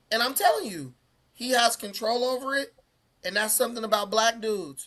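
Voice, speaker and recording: This man's voice is raised and projected, high-pitched, with a bright, sharp tone. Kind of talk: casual chat.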